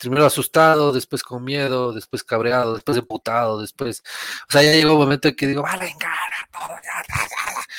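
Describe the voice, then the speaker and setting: A man's normal speaking voice, fairly high in pitch, at a moderate pace, with a dry, close sound and no echo. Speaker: podcast guest. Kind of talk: casual chat. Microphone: borrowed computer, says sounds better.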